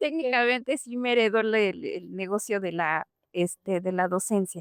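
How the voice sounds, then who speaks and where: With lively intonation, a woman speaks at a moderate pace in a medium pitch. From Mexico (Mexico City, then Puebla), German-speaking home. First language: German (speaking Spanish). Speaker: German language teacher. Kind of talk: interview.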